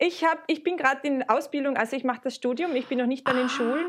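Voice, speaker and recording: A woman at a very fast pace, high in pitch, with ordinary pitch variation. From Austria, Carinthia. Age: 20s. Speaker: student teacher and vulva sculptor. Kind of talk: casual interview.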